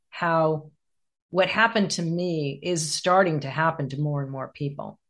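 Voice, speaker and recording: A woman has an ordinary speaking voice, fairly low in pitch. She keeps a moderate pace and fairly even intonation. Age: 60s. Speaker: executive coach and author. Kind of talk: interview conversation.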